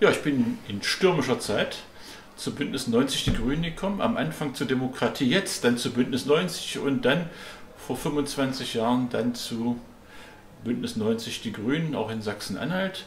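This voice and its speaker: Over light background noise and audible room echo, a man at a medium pitch speaks at a fairly slow pace with lively intonation. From East Germany. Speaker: politician. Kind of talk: interview testimony. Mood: calm, reflective storytelling. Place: home room.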